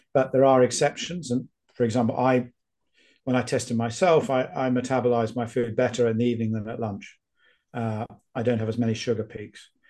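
Speaking at a fairly quick pace, a man of medium pitch keeps his intonation fairly even. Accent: British. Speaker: epidemiologist and author. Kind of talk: casual interview.

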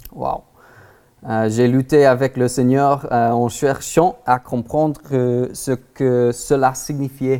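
Someone with an American accent speaks at a very slow pace. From Texas, US. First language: English (speaking French). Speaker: guest preacher. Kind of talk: sermon. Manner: halting, many hesitations.

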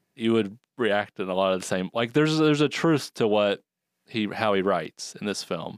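On a very clean recording with a silent background and a dry, close sound with no echo, an ordinary speaking voice moves at a moderate pace with lively intonation. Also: man, fairly low pitch for a man. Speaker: podcast host. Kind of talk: casual chat.

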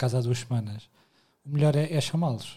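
A man's medium-pitched, dark and mellow voice, somewhat breathy, at a fairly quick pace with a European Portuguese accent, on a very clean recording with a silent background. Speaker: podcast co-host. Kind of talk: casual chat.

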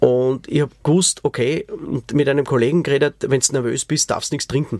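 A normal speaking voice from a man, fairly high in pitch, with fairly even intonation and a dry, close sound with no echo. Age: 40s. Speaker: podcast host, musician. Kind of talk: personal testimony.

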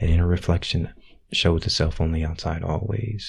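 Fairly quick, somewhat breathy speech from a man. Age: 40s. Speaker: intuitive guide and spiritual teacher. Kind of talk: interview. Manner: halting, with many fillers.

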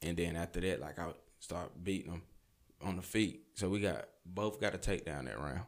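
In a very clean recording with a silent background, a man speaks at a moderate pace. His pitch is very deep and low, with ordinary variation and vocal fry. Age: 20s. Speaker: fighter. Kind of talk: casual chat.

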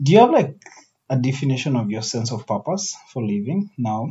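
A man speaks at a moderate pace and medium pitch. His voice is somewhat breathy, with ordinary pitch variation. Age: 20s. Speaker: podcast host. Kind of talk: casual chat.

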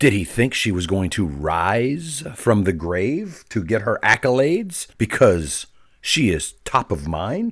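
On a very clean recording with a silent background, a man with vocal fry speaks at a fairly slow pace in an animated tone with very wide pitch swings. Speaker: political commentator podcast host. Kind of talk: opinionated political rant with played clips. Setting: pre-recorded show. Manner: animated, sarcastic.

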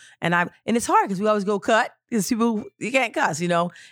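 A woman at a moderate pace and with an energetic tone, on a very clean recording with a silent background and a dry, close sound with no echo. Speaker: film director and author. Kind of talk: casual interview chat. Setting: studio.

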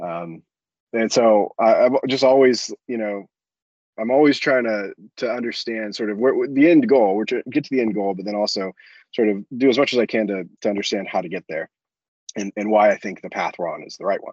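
A man with an American accent and a normal speaking voice, medium pitch, ordinary pitch variation, big swings in loudness, fairly quick pace, and a dry, close sound with no echo. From US South, Florida (Ocala). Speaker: business founder and CEO. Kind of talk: casual interview.

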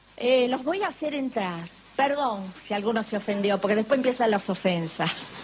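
A woman's lively, moderately paced speech over noticeable background noise. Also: fairly high pitch for a woman. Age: 30s. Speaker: radio host. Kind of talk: casual chat. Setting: studio.

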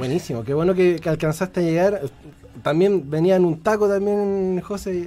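A man with a high pitch and a dark, mellow tone talks at a moderate pace with ordinary pitch variation. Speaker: radio host. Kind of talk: live radio chat. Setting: radio studio.

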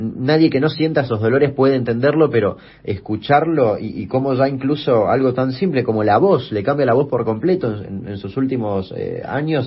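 This man talks at a fairly quick pace in a medium pitch. His voice is somewhat breathy. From Argentina, Chaco. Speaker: youtuber and podcast host. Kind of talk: interview. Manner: hesitant, with fillers.

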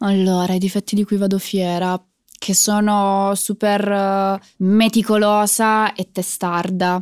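A woman speaks very slowly at a medium pitch in a monotone, flat delivery, her loudness very even, recorded very cleanly against a silent background with a dry, close sound and no echo. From southern Italy, Foggia (Apulia). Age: 20s. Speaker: singer. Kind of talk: interview.

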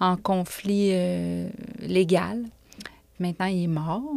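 The recording is very clean with a silent background. A woman speaks at a medium pitch. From Quebec City area, Quebec. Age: 40s. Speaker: author. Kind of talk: casual chat. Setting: studio.

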